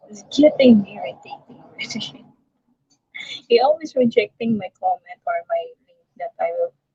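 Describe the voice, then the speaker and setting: A woman with a Filipino accent talks at a moderate pace, with big swings in loudness and long, frequent pauses. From Philippines. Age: 60s. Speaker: vlogger. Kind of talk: live stream chat. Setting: live stream on phone. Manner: halting.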